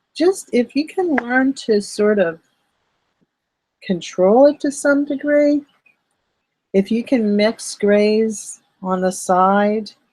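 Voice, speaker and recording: Very slow and marked by long, frequent pauses, a woman's somewhat breathy voice carries lively intonation. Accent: American. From Philadelphia, US. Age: 60s. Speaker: artist teaching art online. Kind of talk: live-streamed art tutorial. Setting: live stream. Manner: casual, chatty with filler words.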